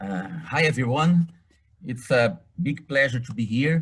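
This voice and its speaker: Lively in intonation and somewhat breathy, a man talks at a moderate pace. He has a Portuguese accent. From Brazil. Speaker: professor. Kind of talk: lecture. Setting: video call. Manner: halting.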